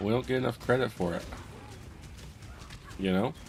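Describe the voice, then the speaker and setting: This soft-spoken man has a fairly low pitch. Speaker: gaming streamer. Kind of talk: gameplay commentary. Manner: halting.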